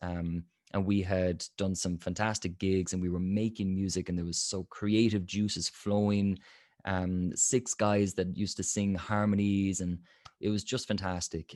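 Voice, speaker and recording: A man with an Irish accent speaks at a moderate pace in a very deep, low pitch, his intonation monotone and flat against a quiet background. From Limerick, Ireland. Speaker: jazz singer, voice coach. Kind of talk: interview answer.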